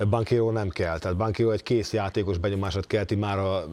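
In a very clean recording with a silent background, a man talks at a fairly quick pace in an ordinary speaking voice, fairly low in pitch with fairly even intonation. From Hungary. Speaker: former NBA player, basketball pundit. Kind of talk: casual chat.

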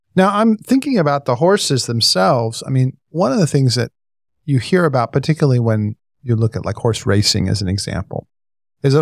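Recorded with a dry, close sound and no echo, a man speaks with an American accent at a medium pitch. His intonation is lively and his pace is moderate. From Northern California. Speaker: podcast co-host. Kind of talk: casual chat.

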